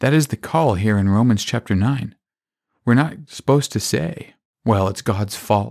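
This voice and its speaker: A man with a plain, everyday voice, fairly low pitch, lively intonation and moderate pace, in a very clean recording with a silent background and a dry, close sound with no echo. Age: 20s. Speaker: Bible teacher podcaster. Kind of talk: Bible teaching monologue.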